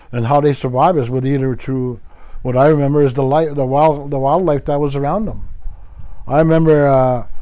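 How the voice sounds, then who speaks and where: A man with a dark, mellow tone, fairly high pitch and moderate pace. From Wiikwemkoong, Manitoulin Island, Ontario, Canada. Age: 60s. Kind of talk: teaching talk.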